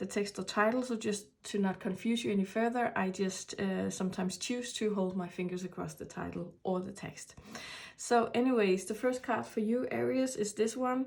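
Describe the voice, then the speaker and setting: Speaking with a Danish accent, a woman uses a medium pitch, ordinary pitch variation and a moderate pace. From Denmark. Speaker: tarot reader. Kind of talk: tarot reading. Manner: halting.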